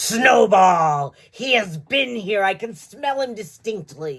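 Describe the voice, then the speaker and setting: Growling at a fairly high pitch, the speaker uses a put-on character voice. Every word comes at a very slow pace. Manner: terrible, menacing, barking.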